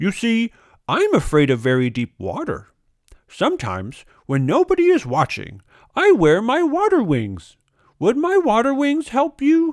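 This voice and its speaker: A put-on character voice at a moderate pace, on a very clean recording with a silent background. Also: man, extremely high pitch for a man. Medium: read story.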